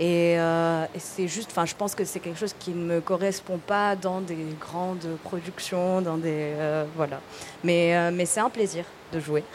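Over noticeable background noise, a woman speaks fairly slowly at a fairly low pitch with fairly even intonation. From Tunisia. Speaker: film director. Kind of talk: casual chat. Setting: stage with audience. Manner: halting.

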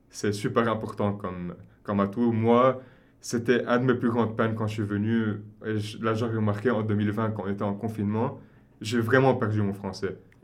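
A man with a fairly low pitch at a moderate pace, in a monotone, flat intonation, with audible room echo. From Lebanon, Beirut. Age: 20s. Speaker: consultant. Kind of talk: interview.

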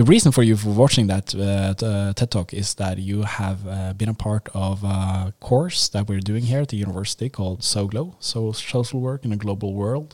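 In a Norwegian accent, a man speaks at a moderate pace and a fairly low pitch with ordinary pitch variation, the sound dry and close with no echo. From Norway. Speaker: university professor and podcast host. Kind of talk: casual discussion. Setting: studio. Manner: halting.

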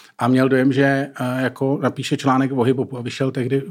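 Noticeable background noise behind a male talker of medium pitch. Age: middle-aged. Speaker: journalist, comedian and youtuber. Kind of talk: casual chat. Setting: studio. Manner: fast.

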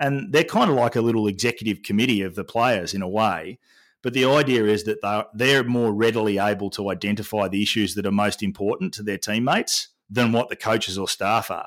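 A man with an Australian accent, ordinary pitch variation and hardly any pauses, on a very clean recording with a silent background. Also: fairly low pitch for a man, fairly quick pace. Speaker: sport culture and well-being consultant. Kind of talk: interview.

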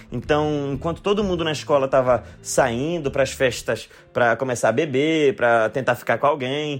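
With lively intonation and a medium pitch, a man speaks at a moderate pace in an unremarkable speaking voice. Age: 30s. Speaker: comedian. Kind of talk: recorded monologue answering questions.

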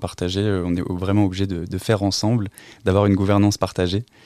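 At a moderate pace, a man talks in a very deep, low pitch with a dark, mellow tone and monotone, flat intonation. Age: 20s. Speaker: rural development agent. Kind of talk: interview. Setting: studio. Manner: halting.

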